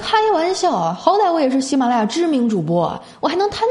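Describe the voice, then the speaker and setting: Pitch swings very widely at a fairly quick pace. Noticeable background noise and audible room echo are present. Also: woman. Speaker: podcast host. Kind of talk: casual comedic monologue; reading listener messages. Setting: hotel room. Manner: animated. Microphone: echoey room.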